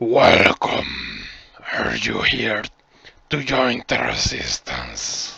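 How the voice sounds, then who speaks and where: A raspy, put-on character voice from a man, medium in pitch, at a very slow pace. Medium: actual play. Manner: slow, solemn, measured.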